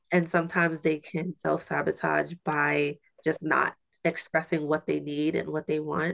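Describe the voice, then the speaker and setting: Dry and close with no echo, the voice moves at a moderate pace. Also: woman. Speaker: podcast host. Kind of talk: casual conversational interview. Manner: animated, friendly.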